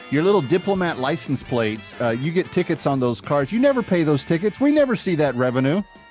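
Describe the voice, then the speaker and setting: A man with an American accent and a fairly high pitch, racing along at a very fast pace with hardly any pauses and very wide pitch swings, music playing in the background. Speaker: radio talk show host. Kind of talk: comedic talk show monologue. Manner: casual, conversational.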